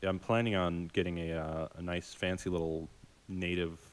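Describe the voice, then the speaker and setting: A man's very deep, low voice in a monotone, flat intonation. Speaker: software developer. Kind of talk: casual work meeting.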